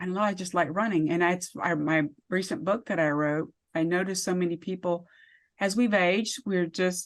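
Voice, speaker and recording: With a quiet background, a woman talks in an ordinary speaking voice at a fairly quick pace, with medium pitch and ordinary pitch variation. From US (military bases, army brat). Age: 50s. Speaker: author and wellness speaker. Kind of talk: interview.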